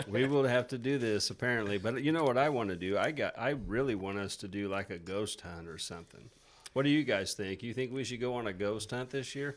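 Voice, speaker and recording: A man with a Missouri accent and a medium pitch talks at a fairly quick pace with ordinary pitch variation. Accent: rural Missouri twang. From rural Missouri (Niangua). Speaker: podcast host. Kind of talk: casual chat. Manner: animated.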